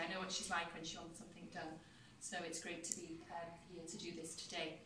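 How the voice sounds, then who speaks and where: A woman talks at a fairly quick pace with a fairly low pitch. Audible room echo and light background noise come through. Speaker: government minister opening an office. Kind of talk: formal speech. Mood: warm, lightly humorous. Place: hall. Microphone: camera far.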